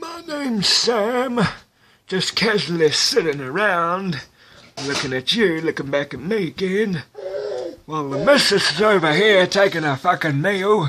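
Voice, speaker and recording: A man performs a put-on character voice. It sits high in pitch and moves at a moderate pace. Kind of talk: comedic voice-over. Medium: dub.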